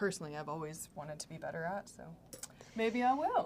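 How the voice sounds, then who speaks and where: Noticeable background noise sits under a woman with a fairly low pitch who speaks at a fairly quick pace with lively intonation. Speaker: makeup artist. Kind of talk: casual chat.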